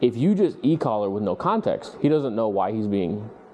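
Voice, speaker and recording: Music plays in the background. A man speaks in a fairly low pitch. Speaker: dog trainer. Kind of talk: instructional session with clients. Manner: fast; animated.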